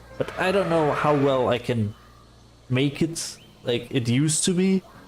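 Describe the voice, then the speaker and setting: Noticeable background noise sits behind a man speaking at a fairly slow pace. His loudness is very even, with ordinary pitch variation. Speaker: game streamer. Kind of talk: casual livestream chat. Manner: relaxed, hesitant with fillers.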